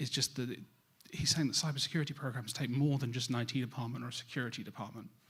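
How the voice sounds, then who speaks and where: Here a man talks at a very fast pace with a British accent. His medium pitch follows fairly even intonation. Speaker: cybersecurity industry speaker. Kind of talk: conference presentation.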